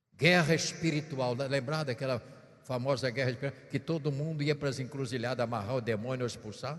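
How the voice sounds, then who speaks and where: Soft-spoken and somewhat breathy, a man talks at a fairly high pitch and a moderate pace with ordinary pitch variation, and the room echo is audible. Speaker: bishop preacher. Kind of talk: sermon. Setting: church. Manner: speaking softly; playful tone.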